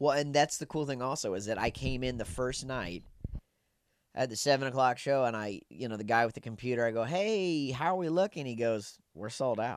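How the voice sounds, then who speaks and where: A man speaks in a normal speaking voice at medium pitch, with lively intonation. The recording is very clean, with a silent background. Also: fairly quick pace. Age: 30s. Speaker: comedian. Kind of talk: casual chat. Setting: cruise ship cabin.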